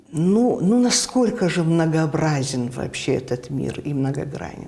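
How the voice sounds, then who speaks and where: Over noticeable background noise, a woman with a very deep, low voice speaks at a fairly slow pace, her pitch swinging very widely. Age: 70s. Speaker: TV announcer. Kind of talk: interview answer. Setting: studio.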